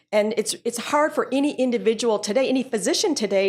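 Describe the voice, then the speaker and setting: In a very clean recording with a silent background, a woman speaks at a very fast pace with lively intonation. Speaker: physician in biotechnology. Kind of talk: panel discussion. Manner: loud.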